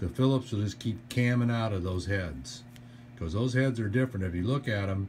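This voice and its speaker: Somewhat breathy, a man talks at medium pitch and a moderate pace. His intonation stays fairly even. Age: 60s. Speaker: DIY furniture assembly hobbyist. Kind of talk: tutorial. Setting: indoors at daughter's house. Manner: casual, hesitant with fillers.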